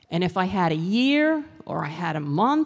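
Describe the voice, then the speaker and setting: A woman with an American accent talks at a fairly slow pace over a quiet background. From New York City. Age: 60s. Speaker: author and motivational speaker. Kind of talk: motivational talk.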